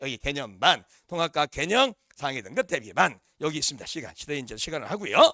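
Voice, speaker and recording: With very wide pitch swings, a man speaks at a fairly quick pace in a dry, close sound with no echo. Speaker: science teacher at a cram school. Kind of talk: info session sales pitch to parents. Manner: fast.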